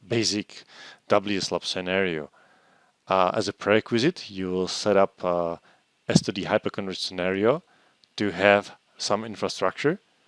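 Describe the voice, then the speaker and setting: A man with a Czech accent speaks at a moderate pace in a very deep, low pitch, the sound dry and close with no echo. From Czech Republic. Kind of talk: technical presentation. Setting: online conference.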